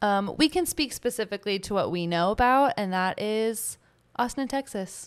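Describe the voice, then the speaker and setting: At a moderate pace, a woman with a normal speaking voice talks at a fairly high pitch with lively intonation on a very clean recording with a silent background. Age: 20s. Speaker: podcast co-host. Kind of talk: casual chat.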